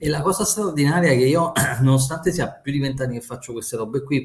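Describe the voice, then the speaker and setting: Somewhat breathy, a man talks at a fairly quick pace and a medium pitch with lively intonation. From Naples and Rome, Italy. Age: 40s. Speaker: trader and finance educator. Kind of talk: casual interview chat.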